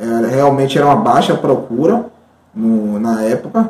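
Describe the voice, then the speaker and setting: Medium pitch and ordinary pitch variation from a man, with noticeable background noise around him. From Bahia, Brazil (Santo Amaro). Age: 20s. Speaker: mathematics teacher. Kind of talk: interview testimony. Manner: halting, many fillers.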